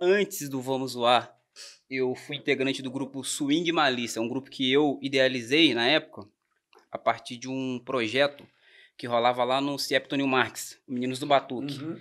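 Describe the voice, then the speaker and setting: Over a quiet background, a man uses an ordinary speaking voice at medium pitch, a moderate pace and fairly even intonation. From Brazil, Volta Redonda (Rio de Janeiro state); Rio de Janeiro state, Brazil. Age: 20s. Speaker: songwriter; podcast guest. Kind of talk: casual chat. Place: studio. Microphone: studio mic.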